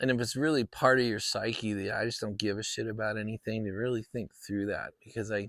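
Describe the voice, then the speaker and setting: In a very clean recording with a silent background and a dry, close sound with no echo, a man talks fairly quickly in a fairly low, monotone, flat voice. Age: 60s. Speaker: vlogger. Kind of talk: casual monologue vlog. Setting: outdoors in backyard. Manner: hesitant, many fillers.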